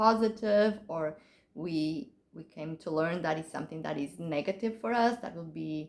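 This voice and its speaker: A woman with a Portuguese accent and a fairly low voice, lively in intonation, at a moderate pace. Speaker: author. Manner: halting.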